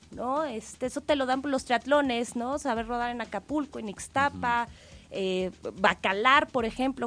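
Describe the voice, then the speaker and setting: A woman with a normal speaking voice, fairly high in pitch, at a moderate pace and with ordinary pitch variation. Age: 20s. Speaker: triathlete and cycling expert. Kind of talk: radio interview.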